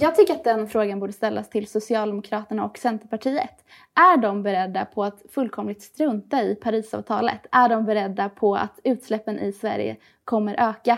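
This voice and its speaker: At a moderate pace, a woman in a normal speaking voice talks at a fairly high pitch with ordinary pitch variation, in a very clean recording with a silent background. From Gothenburg, Sweden (Hisingen). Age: 20s. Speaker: youth party spokesperson. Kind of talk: political interview.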